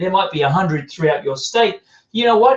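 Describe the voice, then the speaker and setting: A high-pitched man with an Australian accent speaks with very wide pitch swings. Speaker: business coach. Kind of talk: video podcast tutorial. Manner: animated.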